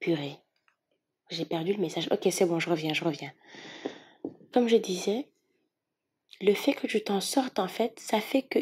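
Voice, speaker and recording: Her animated tone is somewhat breathy, with very wide pitch swings. The woman keeps to a fairly slow pace. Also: very clean recording, silent background. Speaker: tarot reader. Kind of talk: tarot reading.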